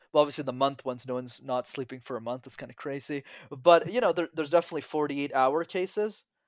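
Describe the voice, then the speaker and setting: A man's fairly high-pitched, animated voice at a very fast pace, with big swings in loudness, ordinary pitch variation, and a dry, close sound with no echo. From Montreal, Quebec. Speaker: public speaking coach. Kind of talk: casual interview. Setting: remote call.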